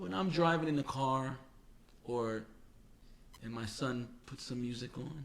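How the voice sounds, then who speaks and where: A man's medium-pitched voice in a New York accent, with ordinary pitch variation, a fairly slow pace and long, frequent pauses. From New York City (Queens). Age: 40s. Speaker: podcast co-host. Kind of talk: casual chat. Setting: home recording studio.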